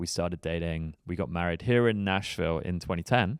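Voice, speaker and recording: A man speaks fairly quickly in a very deep, low voice with an English accent and ordinary pitch variation. The recording is very clean, with a silent background. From England, northwest London (Harrow). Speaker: startup investment platform executive. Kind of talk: podcast interview.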